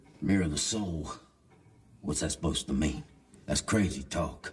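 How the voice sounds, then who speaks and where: A man's put-on character voice, raspy and very deep, low in pitch. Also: moderate pace, ordinary pitch variation. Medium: short film. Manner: blunt, skeptical.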